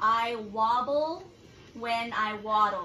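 Music plays in the background as a woman with a fairly high pitch and ordinary pitch variation speaks amid audible room echo. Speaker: phrase reader in game. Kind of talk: casual talk to camera. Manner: loud, excited, screaming, playful. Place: home room. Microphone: camera far.

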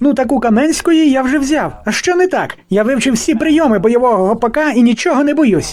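A put-on character voice at a high pitch moves at a fairly quick pace with hardly any pauses. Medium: fan dub. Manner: cocky, carefree.

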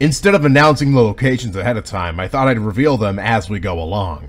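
At a moderate pace, a man speaks with vocal fry and very wide pitch swings. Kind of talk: casual commentary. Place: open country.

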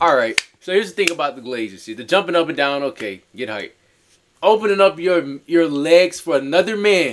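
With light background noise, a man talks at a fairly quick pace in a high pitch, his tone animated, his intonation lively and his loudness swinging widely. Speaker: sports reaction YouTuber. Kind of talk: casual reaction chat. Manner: animated, loud, informal.

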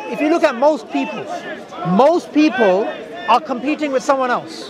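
A man speaks at an extremely high pitch and a moderate pace. The sound is dry with no echo, with crowd noise in the background. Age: 30s. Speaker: religious debater. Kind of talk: debate. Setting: outdoors. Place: open country. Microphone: lapel.

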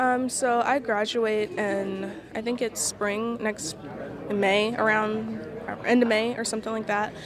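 Against crowd noise in the background, a woman speaks at a fairly slow pace with fairly even intonation, the sound dry with no echo. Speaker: interviewee. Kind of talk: interview answer. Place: hall. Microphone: handheld.

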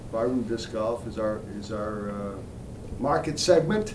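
Noticeable background noise sits behind a man speaking in a fairly low pitch. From Central Falls, Rhode Island. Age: 50s. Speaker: company CEO. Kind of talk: interview answer. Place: office.

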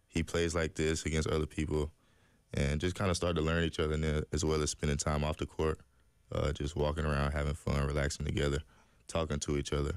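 This man speaks at a very fast pace with a very deep, low pitch. His delivery is flat and monotone, the sound is dry with no echo, and the background is quiet. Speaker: guest. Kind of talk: interview answer. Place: studio. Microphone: studio mic.

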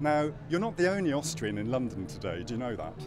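Through noticeable background noise, a man with a fairly high voice comes across in a dry sound with no echo. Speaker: interviewer. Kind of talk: casual interview. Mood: friendly, upbeat. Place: street.

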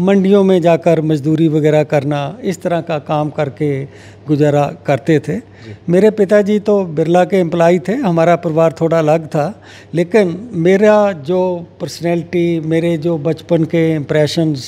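Speaking at a very slow pace, a man with a high pitch keeps his intonation fairly even. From Punjab, India (Hoshiarpur district); Punjab, India. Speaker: agricultural economist and policy adviser; interviewee. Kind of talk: interview. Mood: calm, reflective. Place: home room. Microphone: handheld.

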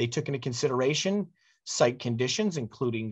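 A somewhat breathy man's voice with lively intonation against a quiet background. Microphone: video call.

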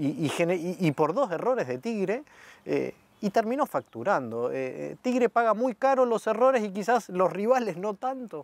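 High male voice with very wide pitch swings, recorded dry with no echo. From Argentina. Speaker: club media interviewer. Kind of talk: interview. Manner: halting, many fillers and repetitions. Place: stadium.

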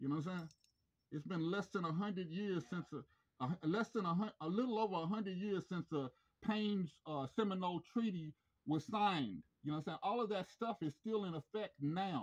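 This man has a high pitch and ordinary pitch variation. He speaks at a moderate pace against a quiet background. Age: 50s. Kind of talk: phone complaint call. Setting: phone call. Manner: halting. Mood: aggrieved, confrontational. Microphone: phone near.

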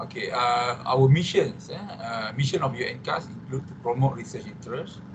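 A man talks at a moderate pace with a Malaysian accent, showing ordinary pitch variation and big swings in loudness. Noticeable background noise runs behind him. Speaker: psychiatrist and addiction researcher. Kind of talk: presentation. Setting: video call. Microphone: video call.

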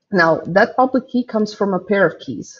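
Somewhat breathy, this woman talks at a moderate pace with a medium pitch and a Croatian accent. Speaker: software developer; conference speaker. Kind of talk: conference talk.

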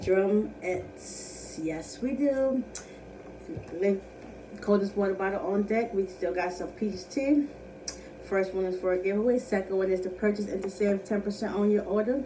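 Light background noise accompanies a woman speaking at a moderate pace with ordinary pitch variation. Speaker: eating video host. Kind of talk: casual vlog chat. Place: home room. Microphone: phone near.

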